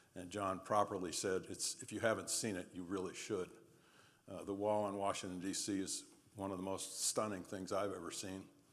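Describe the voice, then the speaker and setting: A man speaks at a moderate pace in a fairly low pitch, his intonation monotone and flat, with audible room echo around him. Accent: American. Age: 70s. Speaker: war veteran and trial lawyer. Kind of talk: lecture.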